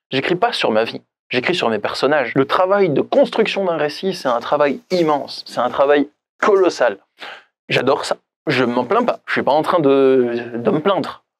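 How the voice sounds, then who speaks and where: Using a plain, everyday voice, the speaker goes at a fairly slow pace with lively intonation. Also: man, fairly high pitch for a man. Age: 30s. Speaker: life coach and author. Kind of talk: personal vlog monologue. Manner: casual, conversational with fillers.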